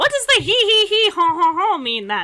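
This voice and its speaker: A put-on character voice from a woman, pitched extremely high, delivered at a medium speed. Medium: actual play. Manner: casual, guileless.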